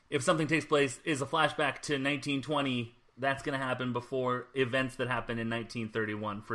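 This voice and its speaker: Speaking very fast with hardly any pauses, a man with an American accent has a medium pitch, a bright, sharp tone and ordinary pitch variation. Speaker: podcast host, guest panelist. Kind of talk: casual chat. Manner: hesitant, many fillers.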